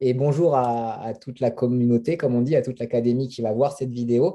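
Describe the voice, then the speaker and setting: A man speaks with a dark, mellow tone. His pitch sits in the medium range. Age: 30s. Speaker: network marketing distributor. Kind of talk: interview. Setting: video call. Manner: halting, many hesitations.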